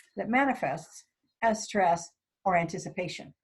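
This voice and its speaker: On a very clean recording with a silent background, a somewhat breathy woman speaks at a moderate pace with lively intonation. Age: 60s. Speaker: worship associate. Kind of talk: sermon. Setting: recorded worship service.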